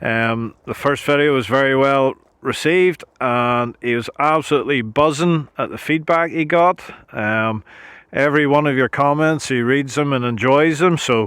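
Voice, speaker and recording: Man with a Northern Irish accent, fairly high in pitch, at a moderate pace. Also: ordinary pitch variation. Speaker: YouTube channel host interviewing his uncle. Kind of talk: casual talk to camera.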